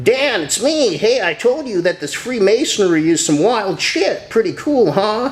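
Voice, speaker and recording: A man uses a put-on character voice with a high pitch, at a moderate pace with hardly any pauses. Light background noise is present. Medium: read story.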